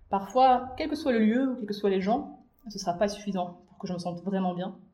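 Pitch varies in an ordinary way. Room echo is audible. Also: woman. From Belarus, Minsk. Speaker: humanitarian consultant. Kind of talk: casual chat.

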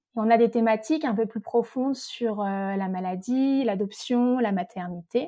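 Woman with a fairly high pitch and a dark, mellow tone, fairly slow yet with hardly any pauses, and lively intonation. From French Alps, Haute-Savoie (Morzine). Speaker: novelist and dietitian. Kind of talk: interview.

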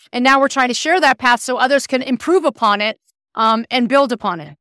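This woman's voice sits high, with ordinary pitch variation. The recording is very clean and dry, close-sounding with no echo and a silent background. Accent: American. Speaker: club co-founder and entrepreneur. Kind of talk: interview answers.

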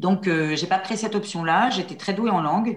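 Her pitch moves with ordinary variation. The speaker is a woman. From central France, near La Châtre. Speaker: trainer and coach. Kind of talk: interview conversation. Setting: video call. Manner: hesitant, many fillers.

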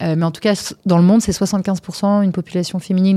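A woman's dark, mellow tone at a very fast pace, with fairly even intonation. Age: 40s. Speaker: startup founder. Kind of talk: interview. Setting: studio.

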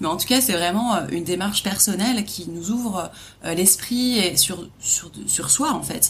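Over noticeable background noise, a woman at medium pitch talks at a very slow pace with ordinary pitch variation. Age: 30s. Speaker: podcast host, travel trainer. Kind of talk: casual interview.

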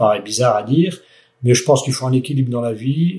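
A man talks at a medium pitch with ordinary pitch variation. His tone is dark and mellow, and somewhat breathy. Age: 60s. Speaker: company director. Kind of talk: interview. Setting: on company site. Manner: hesitant, many fillers.

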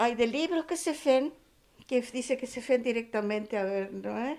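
Here a woman speaks at a fairly slow pace. Her pitch is high, with ordinary variation. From Argentina. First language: Spanish (speaking French). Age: 70s. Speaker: guest with experience of homelessness. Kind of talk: interview testimony.

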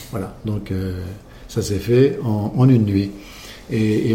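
With audible room echo, a man speaks in a dark, mellow tone that is somewhat breathy. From Champagne, France. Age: 60s. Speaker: champagne house owner. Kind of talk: interview. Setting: at a champagne house.

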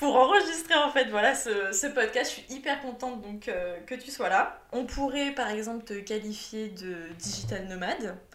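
A woman speaks at a fairly high pitch with lively intonation and hardly any pauses. Audible room echo and noticeable background noise are present. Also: big swings in loudness. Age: 20s. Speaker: podcast host. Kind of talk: interview.

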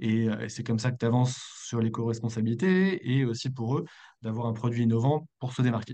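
The man's tone is dark and mellow, and his pitch sits in the middle range. He talks at a fairly quick pace with ordinary pitch variation. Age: 30s. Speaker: eco-friendly products entrepreneur. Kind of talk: interview. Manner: hesitant, many fillers.

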